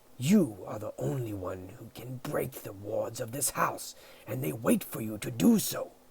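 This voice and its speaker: In a put-on character voice, a man growls and hisses at a medium pitch and a moderate pace. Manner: hissing, angry.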